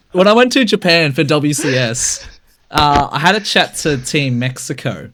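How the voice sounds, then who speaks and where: A man with a strong Australian accent speaks at a moderate pace and a fairly high pitch, his tone bright, sharp and animated, with lively intonation. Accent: Australian, thick. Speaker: podcast co-host. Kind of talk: casual chat.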